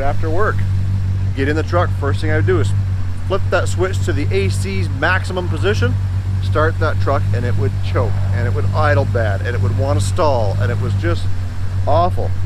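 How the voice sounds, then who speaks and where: Noticeable background noise sits behind a man with a very deep, low pitch, and the sound is dry with no echo. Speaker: car hobbyist vlogger. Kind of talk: casual vlog chat. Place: street. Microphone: phone near.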